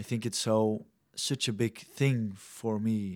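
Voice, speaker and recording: A man with a Dutch accent speaks at a fairly slow pace and in a fairly even tone, on a very clean recording with a silent background. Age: 20s. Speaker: mission trainee and young leader. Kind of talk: interview.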